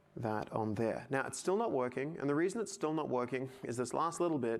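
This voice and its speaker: Ordinary pitch variation with audible room echo. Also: man. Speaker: tech artist presenter. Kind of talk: conference talk, live software demo. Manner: fast.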